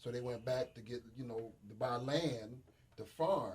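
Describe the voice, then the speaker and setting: Somewhat breathy, a man talks at a moderate pace. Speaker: radio panel guest. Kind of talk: casual radio discussion. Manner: animated.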